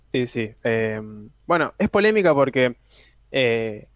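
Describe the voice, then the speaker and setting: There is no echo, and the sound is dry and close. The man's intonation is lively. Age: young. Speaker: film and series columnist. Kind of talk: radio column.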